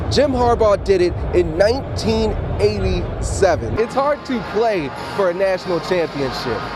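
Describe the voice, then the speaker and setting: Music sounds in the background. Over it, a man speaks at a moderate pace. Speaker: sports anchor and reporter. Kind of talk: on-location TV reporting, montage of stand-ups.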